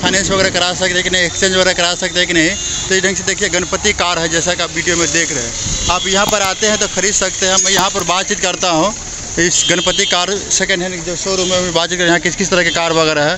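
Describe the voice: A man talks at a fast pace and a high pitch with little pitch movement. Background noise is clearly audible.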